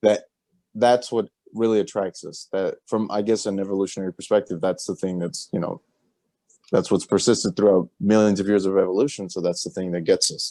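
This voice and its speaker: A man's dark, mellow tone at a fairly quick pace, with a dry, close sound, no echo, and a very clean recording with a silent background. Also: fairly low pitch for a man. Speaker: podcast co-host. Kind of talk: casual chat. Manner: monotone.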